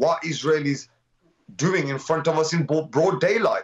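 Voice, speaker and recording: A man talks with a Birmingham accent at a fairly high pitch. The background is quiet. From Birmingham, British Kashmiri. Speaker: community activist; guest. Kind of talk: live TV interview. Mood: impassioned, indignant. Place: home room. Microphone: video call.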